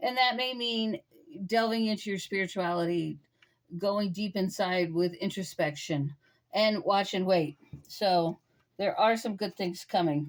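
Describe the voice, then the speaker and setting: A woman with a medium pitch talks fairly slowly, her pitch varying in an ordinary way. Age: 60s. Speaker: tarot reader. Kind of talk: tarot reading. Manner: casual, hesitant with many fillers.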